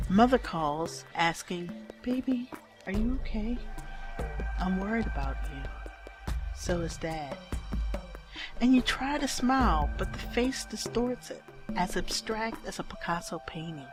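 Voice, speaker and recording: Music plays in the background as a woman talks. She speaks fairly slowly, with long, frequent pauses. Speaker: poet. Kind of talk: spoken word poetry performance.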